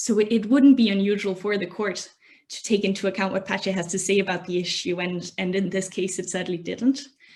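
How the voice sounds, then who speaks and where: A woman speaks at medium pitch in a somewhat breathy voice with ordinary pitch variation. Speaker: academic presenter. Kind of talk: presentation. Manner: fast.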